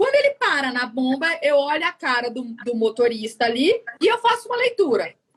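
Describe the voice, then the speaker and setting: A woman talks with her pitch swinging very widely up and down. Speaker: fuel station service consultant. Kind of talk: live stream interview. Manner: animated.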